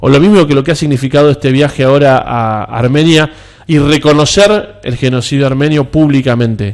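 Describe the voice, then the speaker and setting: This speaker talks at a fairly quick pace in a Rioplatense accent, with ordinary pitch variation. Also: man, fairly high pitch for a man. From Argentina. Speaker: church figure. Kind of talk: interview. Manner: animated.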